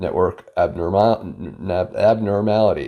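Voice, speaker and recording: The speaker is a man. The background is quiet. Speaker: product reviewer. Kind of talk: product review tutorial. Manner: casual, filler-heavy.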